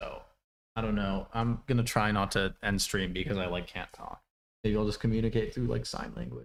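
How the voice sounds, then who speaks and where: A man's fairly low voice with vocal fry and ordinary pitch variation. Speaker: programming streamer. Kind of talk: live stream tutorial. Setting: live stream. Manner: halting, filler-heavy.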